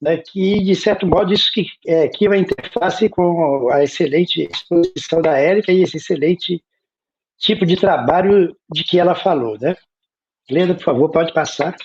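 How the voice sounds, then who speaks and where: Ordinary pitch variation in a man's voice set at a high pitch. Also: moderate pace. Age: 60s. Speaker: academic panelist on translation studies. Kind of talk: lecture.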